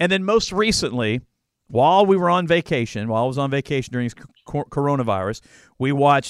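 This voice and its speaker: A man speaks at a moderate pace with a fairly high pitch and lively intonation, in a plain, everyday voice. The recording is dry and close, with no echo. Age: 50s. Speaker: podcast host, former youth pastor. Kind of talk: casual chat. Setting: video call from home.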